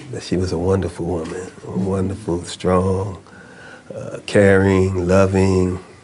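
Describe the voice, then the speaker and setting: A man's very deep, low voice amid audible room echo and noticeable background noise. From New York City (Jamaica, Queens). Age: 70s. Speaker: former political prisoner, activist. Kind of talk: interview.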